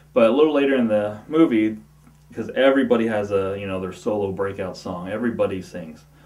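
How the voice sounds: A slightly mellow tone at a fairly quick pace, with fairly even intonation and audible room echo. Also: man, fairly low pitch for a man.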